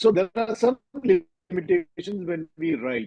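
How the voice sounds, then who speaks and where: A man with a Keralan accent speaks at a moderate pace with lively intonation. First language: Malayalam. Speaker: novelist. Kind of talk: interview. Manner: hesitant, with fillers.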